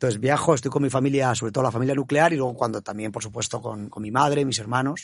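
A man speaks very fast. His intonation stays fairly even. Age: 50s. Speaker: bank executive. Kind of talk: interview. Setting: studio.

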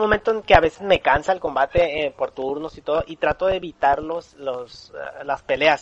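The sound of a man's voice is dry and close, without any echo. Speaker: podcast host. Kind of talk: casual chat.

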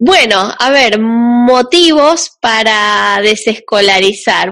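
This woman's voice sits at a fairly high pitch. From Argentina, Entre Ríos. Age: 30s. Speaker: podcast host, homeschooling mother. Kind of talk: casual chat.

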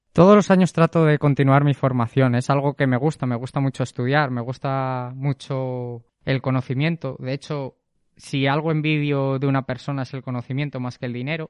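With an unremarkable speaking voice, a man talks at a moderate pace and medium pitch with fairly even intonation and hardly any pauses, the sound dry and close with no echo over a quiet background. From Spain, Zamora (Castile and León). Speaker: math teacher. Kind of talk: interview.

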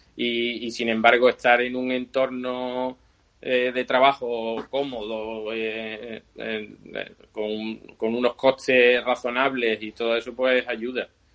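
A man with an Andalusian accent speaks at a very slow pace with monotone, flat intonation. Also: medium pitch for a man. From Seville, Spain. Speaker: bicycle frame builder. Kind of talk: interview.

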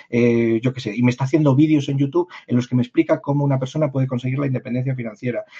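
A man with a fairly high pitch talks very fast in a somewhat breathy voice. His intonation stays fairly even. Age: 50s. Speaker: personal branding consultant. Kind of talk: interview conversation.

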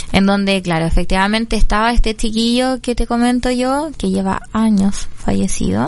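With an unremarkable speaking voice, a woman talks at a moderate pace and a fairly high pitch, with ordinary pitch variation and hardly any pauses. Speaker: foundation director, health worker. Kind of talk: radio interview.

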